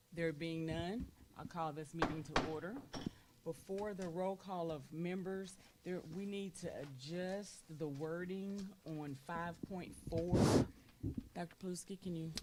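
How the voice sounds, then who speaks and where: A woman with a Southern US accent speaks at a fairly slow pace and fairly low pitch, her intonation fairly even, with noticeable background noise behind her. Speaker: school board president. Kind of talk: formal meeting chairing. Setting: board meeting room with microphones. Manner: loud.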